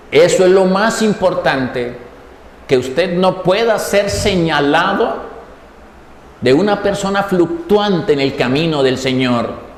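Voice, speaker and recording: A man's high-pitched voice at a very slow pace, with lively intonation and very even loudness, amid noticeable background noise and audible room echo. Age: 60s. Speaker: preacher. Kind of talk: sermon.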